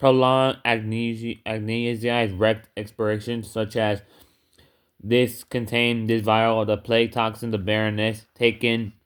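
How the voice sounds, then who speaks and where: This man talks at a fairly slow pace in a monotone, flat intonation. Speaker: YouTuber reading comics aloud. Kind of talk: reading aloud. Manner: halting, stumbles over words.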